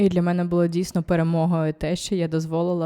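Very deep and low, a woman's voice has a dark, mellow tone and a fairly quick pace. The recording is very clean with a silent background and a dry, close sound with no echo. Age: 30s. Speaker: style vlogger and personal shopper. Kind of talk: casual vlog monologue.

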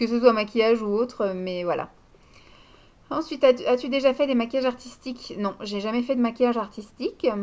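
A woman talks at a fairly quick pace. Her pitch is high, with ordinary pitch variation. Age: 30s. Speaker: beauty vlogger. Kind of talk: casual Q&A monologue. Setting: home video recording at night. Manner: hesitant. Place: home room. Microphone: webcam.

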